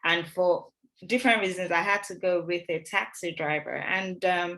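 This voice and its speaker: A woman speaks at a moderate pace and fairly low pitch, her tone bright and sharp. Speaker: NHS doctor. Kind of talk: Q&A session on a video call. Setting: video call.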